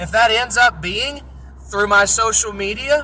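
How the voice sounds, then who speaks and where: A man speaks in an animated tone at a fairly slow pace. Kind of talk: casual monologue rant. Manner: loud.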